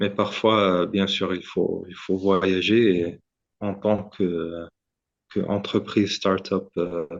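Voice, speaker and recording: A man's fairly low, flat, monotone delivery at a very slow pace, broken by long, frequent pauses. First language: Arabic and English (speaking French). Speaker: startup founder, medical inventor. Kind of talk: podcast interview. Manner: halting, many hesitations and repetitions.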